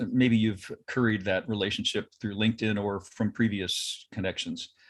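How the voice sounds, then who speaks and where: With an American accent, a man in an unremarkable speaking voice talks at a fairly quick pace, medium in pitch and fairly even in intonation. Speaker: TV news anchor turned freelance voice actor. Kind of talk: interview answer.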